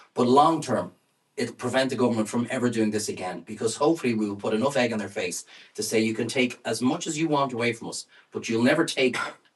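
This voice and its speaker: A man with an Irish accent talks at a very fast pace, his medium pitch rising and falling in an ordinary way. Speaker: campaigner. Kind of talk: speech.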